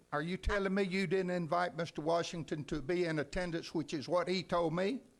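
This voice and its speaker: Here is a loud man with an American accent. His voice sits at a high pitch. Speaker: city council member. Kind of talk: heated debate. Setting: council meeting.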